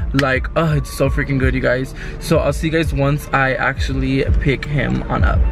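A man speaks at a moderate speed, his sound dry and echo-free, while music plays clearly in the background. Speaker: vlogger. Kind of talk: casual vlog chat. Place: car. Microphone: phone near.

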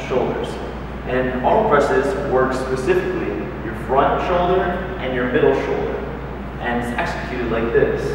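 Over noticeable background noise and strong room echo, a man speaks at a moderate pace. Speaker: fitness instructor. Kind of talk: tutorial. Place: gym. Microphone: camera far.

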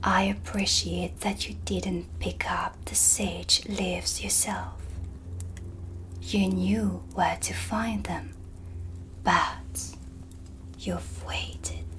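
Soft-spoken and in a put-on character voice, a woman talks at a very slow pace with long, frequent pauses over clear background noise. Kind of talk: ASMR roleplay.

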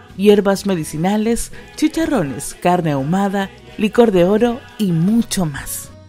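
A woman speaks with lively intonation while music plays in the background. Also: medium pitch for a woman, fairly slow pace. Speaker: voice-over artist. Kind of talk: radio/TV commercial read.

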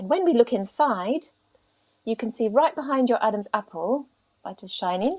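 With a British accent, the speaker talks at a moderate pace with lively intonation, big swings in loudness, and long, frequent pauses over a quiet background. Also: woman, fairly high pitch for a woman. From UK. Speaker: speech therapist. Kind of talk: interview. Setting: video call. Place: home room. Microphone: earbuds.

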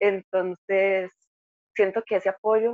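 The voice belongs to a woman speaking at medium pitch. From Costa Rica, Heredia. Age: 20s. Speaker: engineering student. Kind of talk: interview testimony.

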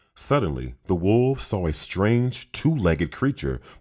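Text is read out plainly. Nothing more than straightforward reading aloud.

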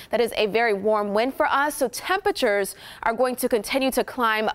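A woman speaks with a high pitch. Her tone is upbeat. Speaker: TV meteorologist. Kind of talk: live TV weather report, reading off temperature maps. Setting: TV studio. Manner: brisk, upbeat rundown of town-by-town temperatures; friendly, conversational, loosens into light banter at end. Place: studio. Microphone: lapel.

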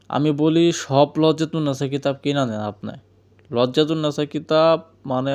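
Against a quiet background, a man with an ordinary speaking voice talks at a fairly high pitch with fairly even intonation. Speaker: folk healer selling books. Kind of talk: sales pitch. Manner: casual, repetitive.

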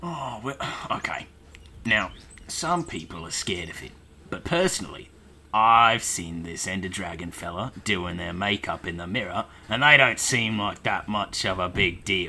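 A man does a put-on character voice with a fairly low pitch at a moderate pace. Clear background noise can be heard. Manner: rambling.

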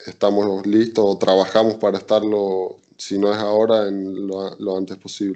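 Against a quiet background, a man speaks at a fairly low pitch and a fairly slow pace in a flat monotone. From Argentina, Chaco then Carlos Paz (Córdoba); Argentina. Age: 20s. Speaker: volleyball player; interviewee. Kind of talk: interview. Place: home room. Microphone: video call.

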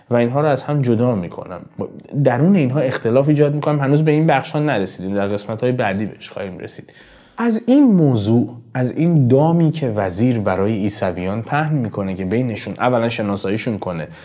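A man talks very fast at a medium pitch, with a dark, mellow tone and lively intonation. Audible room echo surrounds his voice. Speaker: poetry interpreter, channel host. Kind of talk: lecture. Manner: formal.

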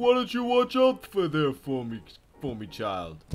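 A put-on character voice with a warm tone and very wide pitch swings. It moves at a fairly slow pace over light background noise. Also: man, fairly high pitch for a man. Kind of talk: casual gameplay commentary. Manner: jolly, warm. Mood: playful joking.

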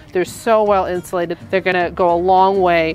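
Over faint music in the background, a woman speaks at a moderate pace and fairly low pitch with monotone, flat intonation, in a dry sound with no echo. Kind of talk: home tour. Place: street.

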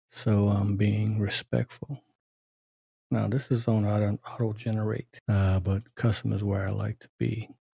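Soft-spoken, somewhat breathy delivery with a dark, mellow tone, fairly slow pace and fairly even intonation. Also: man, fairly low pitch for a man, big swings in loudness, dry, close sound with no echo. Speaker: tech tutorial youtuber. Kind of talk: screen-recorded software tutorial. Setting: at home at night. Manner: casual, halting with fillers.

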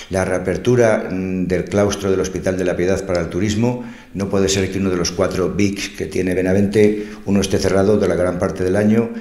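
Delivered at a moderate pace with hardly any pauses, the speech has monotone, flat intonation and audible room echo. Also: man, very deep, low pitch for a man. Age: 60s. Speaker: local politician; election candidate. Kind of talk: interview answers, campaign proposals; interview answer. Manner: halting, with frequent fillers. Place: studio.

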